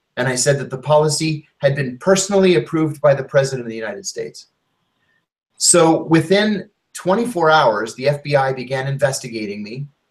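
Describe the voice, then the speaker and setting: A man talks at a fairly quick pace with lively intonation. His fairly high voice is somewhat breathy. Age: 50s. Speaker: former intelligence officer and author. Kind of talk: interview testimony.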